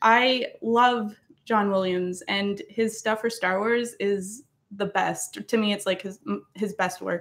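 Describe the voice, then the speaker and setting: Here a woman talks in a Maritimes accent. Her pace is fairly slow and her pitch varies in an ordinary way. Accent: Canadian English (Maritimes). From Nova Scotia, Canada. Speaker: musician and YouTuber doing covers. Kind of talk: casual livestream chat reading comments. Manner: casual, hesitant with fillers.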